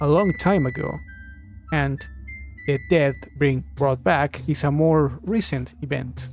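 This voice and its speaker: A man speaks at a fairly slow pace with a non-native accent. Music plays in the background. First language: not English. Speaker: video game theorist. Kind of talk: video essay narration. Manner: at times hesitant, hard to understand.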